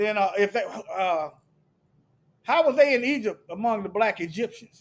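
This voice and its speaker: Loud and high-pitched, a man talks at a moderate pace with lively intonation. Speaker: religious commentator. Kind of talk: sermon-style commentary with scripture reading. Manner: animated.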